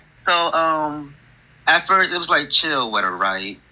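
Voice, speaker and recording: With an American accent, a man speaks at a moderate pace and a fairly high pitch. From New Jersey, Newark area. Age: 20s. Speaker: podcast guest sharing a ghost story. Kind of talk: personal storytelling on a call-in podcast. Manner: halting, many fillers.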